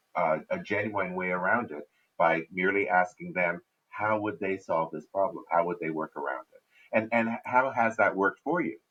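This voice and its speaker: Here is a man with an unremarkable speaking voice, pitched fairly low. He talks at a moderate pace with ordinary pitch variation. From Canada. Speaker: business speaker on a panel. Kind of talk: panel discussion.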